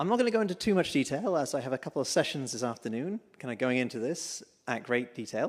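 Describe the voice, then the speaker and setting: A man with a British accent speaks at a very fast pace in a fairly high pitch with lively intonation. The recording is very clean, with a silent background. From UK. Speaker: tech company executive. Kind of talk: conference keynote talk. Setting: stage with audience.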